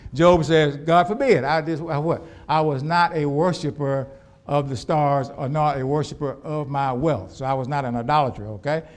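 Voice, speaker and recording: A fairly high-pitched man with an American accent, ordinary pitch variation and audible room echo. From US Southwest (Phoenix, Arizona). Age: 70s. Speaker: pastor. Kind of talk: sermon. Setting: church. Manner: animated, call-and-response questions.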